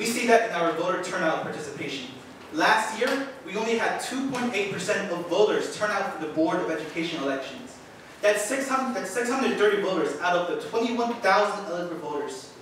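Strong room echo and light background noise around a man speaking at a moderate pace. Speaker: high school student at public comment. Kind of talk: prepared public statement. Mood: earnest, slightly nervous. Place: hall.

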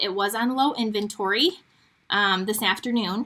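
The speaker has an Upper Midwest accent. Light background noise sits behind the voice. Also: woman. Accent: Upper Midwest American. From Michigan. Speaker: crafting demonstrator. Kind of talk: live-stream craft tutorial. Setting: live stream from home studio. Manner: chatty.

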